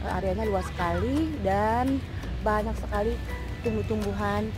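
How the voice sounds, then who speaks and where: Clear music plays in the background as a woman talks at a moderate pace, her sound dry with no echo. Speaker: plant vlogger. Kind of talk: casual vlog chat. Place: garden. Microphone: phone near.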